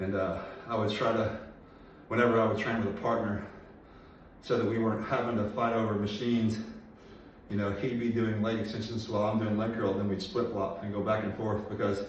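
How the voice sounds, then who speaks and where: A man speaks at a fairly quick pace in a fairly low, flat, monotone pitch, with long, frequent pauses. Noticeable background noise and audible room echo fill the recording. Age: 40s. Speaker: personal trainer and bodybuilder. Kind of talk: workout vlog. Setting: home garage gym. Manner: mumbling; fast.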